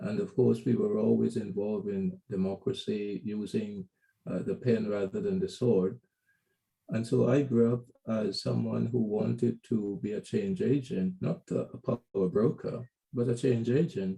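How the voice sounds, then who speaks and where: His tone is dark and mellow, somewhat breathy, at a medium pitch. The man keeps a moderate pace with lively intonation. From Guyana. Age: 60s. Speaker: journalist and business consultant. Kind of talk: interview. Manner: halting with fillers.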